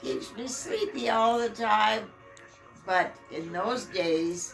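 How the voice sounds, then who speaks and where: The speech moves at a very slow pace. Music plays in the background, and room echo is audible. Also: woman. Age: 90s. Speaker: mother of the channel owner. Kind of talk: casual chat. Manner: halting.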